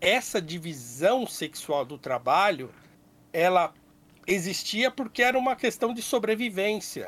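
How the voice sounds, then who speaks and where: Lively intonation and a fairly slow pace in a man's high-pitched voice. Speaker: podcast co-host. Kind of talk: casual debate. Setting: remote call.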